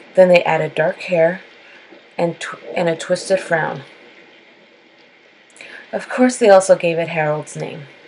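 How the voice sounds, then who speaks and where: There is noticeable background noise behind a woman whose voice is fairly low in pitch. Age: late 20s to 30s. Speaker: horror storyteller. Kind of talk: horror story reading.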